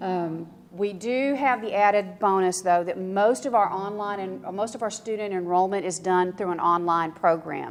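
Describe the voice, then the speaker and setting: On a very clean recording with a silent background, a woman speaks in a Texan accent at medium pitch with ordinary pitch variation. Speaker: school district records manager. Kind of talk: conference presentation. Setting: conference room with audience. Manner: casual, with many fillers.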